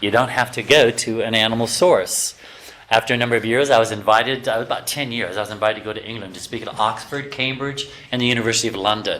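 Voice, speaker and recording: The speech runs at a very fast pace over noticeable background noise. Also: man. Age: 60s. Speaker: health lecturer. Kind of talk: lecture. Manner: animated.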